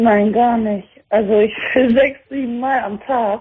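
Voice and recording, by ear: A woman with a fairly high, slightly husky voice speaks fairly slowly with fairly even intonation.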